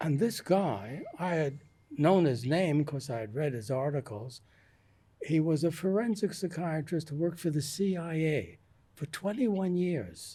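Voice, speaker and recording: Fairly slow and lively in intonation, a man speaks at a fairly high pitch with a dark, mellow tone. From US Northeast, New York. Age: 80s+. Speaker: retired psychiatrist, author. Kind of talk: interview.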